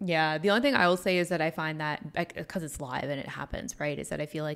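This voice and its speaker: A woman speaks at a fairly quick pace with a fairly low pitch. She has an ordinary speaking voice. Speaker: reaction channel co-host. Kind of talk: casual reaction chat. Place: home room. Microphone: studio mic.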